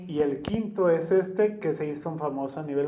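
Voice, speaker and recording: Noticeable background noise and audible room echo fill this clip. A man talks at a fairly high pitch and a moderate pace. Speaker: podcast host. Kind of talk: casual chat.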